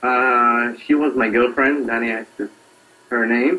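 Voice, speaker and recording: Someone speaks at a fairly slow pace in an Israeli accent. Noticeable background noise runs underneath. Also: man. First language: Hebrew. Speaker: singer-songwriter. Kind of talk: interview. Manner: halting.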